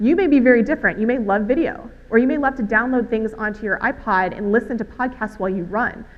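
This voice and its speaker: Speaking at a very fast pace with hardly any pauses, a woman with an American accent uses a fairly high voice and ordinary pitch variation. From Alabama, US South. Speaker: conference speaker on healthcare social media. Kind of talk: conference talk.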